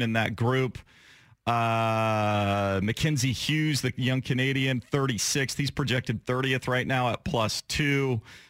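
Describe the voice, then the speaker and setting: Fairly slow and fairly even in intonation, this is an unremarkable speaking voice. The recording is very clean with a silent background and a dry, close sound with no echo. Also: man. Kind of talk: live radio sponsor tag read, short brisk ad-style plug between segments.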